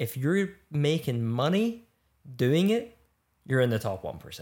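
With a Scottish accent, a man speaks in a dark, mellow tone, his pitch swinging very widely between long, frequent pauses, on a very clean recording with a silent background. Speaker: actor. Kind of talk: casual chat.

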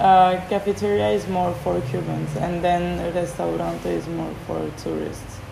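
Speaking at a fairly slow pace with hardly any pauses, a woman with a French accent is heard over noticeable background noise. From France. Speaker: podcast guest, business graduate. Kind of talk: casual interview.

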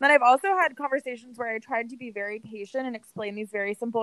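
A woman talks very fast in a high pitch with lively intonation, and the sound is dry and close with no echo. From San Francisco, California. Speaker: podcast co-host. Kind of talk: casual chat.

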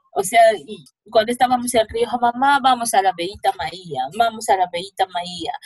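Her voice somewhat breathy and fairly high in pitch, a woman speaks at a fairly slow pace with lively intonation. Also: dry, close sound with no echo. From Peru. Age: 20s. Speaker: bereaved daughter of a femicide victim. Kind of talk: testimony. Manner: halting.

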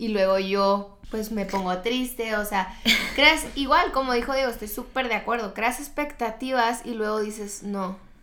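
A woman's fairly high voice at a fairly slow pace, ordinary pitch variation, noticeable background noise and audible room echo. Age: 20s. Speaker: medical student. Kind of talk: casual chat.

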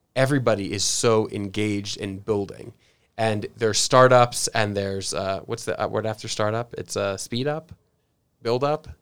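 A man with an American accent has a normal speaking voice, a medium pitch and fairly even intonation at a moderate pace, in a very clean recording with a silent background. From San Diego, California. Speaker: podcast co-host. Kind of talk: casual interview.

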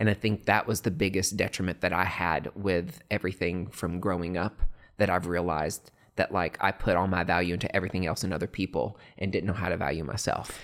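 In a very clean recording with a silent background, a man with a very deep, low voice talks at a fairly quick pace. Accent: American. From East Tennessee, US South. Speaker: aesthetic nurse injector and studio founder. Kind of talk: casual interview chat. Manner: animated, laughs often.

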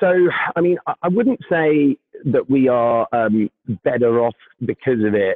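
This man has a British accent. His pitch varies in an ordinary way. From UK. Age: 30s. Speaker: staffing tech business leader. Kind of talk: casual interview chat.

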